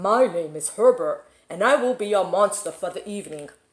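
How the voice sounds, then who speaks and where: A woman puts on a breathy, growling character voice at a medium pitch. The pace is moderate. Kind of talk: polite, formal.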